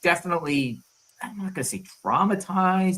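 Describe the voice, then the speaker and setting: A man with a Long Island accent, a bright, sharp tone, very wide pitch swings and a moderate pace. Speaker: livestream host. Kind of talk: casual chat.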